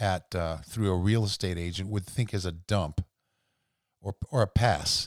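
A man with an unremarkable speaking voice talks at a fairly low pitch and moderate pace. His intonation is fairly even, and the recording is very clean with a silent background. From rural southwestern Pennsylvania. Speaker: podcast host. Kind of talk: solo monologue podcast. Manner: casual, with frequent fillers.

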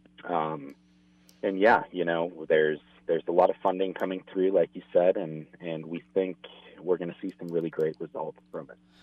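At a moderate pace, a man with a very deep, low pitch speaks in a flat monotone with big swings in loudness. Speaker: hunting association director. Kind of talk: casual interview chat.

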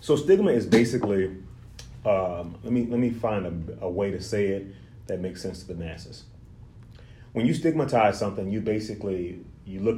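Somewhat breathy and dark, mellow in tone, a man's fairly low voice moves at a fairly quick pace with audible room echo. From Louisiana, Lake Charles. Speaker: therapist. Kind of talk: interview.

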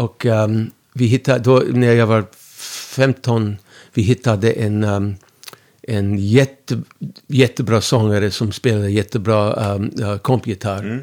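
The man speaks with an English accent. His pace is very slow and his intonation fairly even. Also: fairly low pitch for a man. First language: English (speaking Swedish). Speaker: musician. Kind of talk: interview. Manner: halting.

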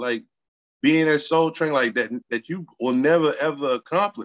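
The sound is dry and close, with no echo. A man with a fairly high pitch speaks at a moderate pace. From East Oakland, California, then Utah. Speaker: rapper. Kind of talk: casual chat.

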